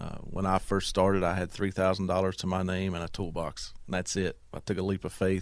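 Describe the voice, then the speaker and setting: A man speaks with an Appalachian Virginia accent at a very deep, low pitch. He keeps a fairly quick pace on a very clean recording with a silent background. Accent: Southern US (Appalachian Virginia). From southwest Virginia, US. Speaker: business owner, Marine veteran. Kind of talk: interview.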